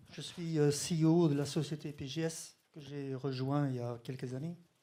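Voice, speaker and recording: With a Dutch accent, a man talks at a fairly high pitch in a dark, mellow tone and a monotone, flat intonation. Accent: Dutch-speaker's French. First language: Dutch (speaking French). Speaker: company executive. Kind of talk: conference presentation.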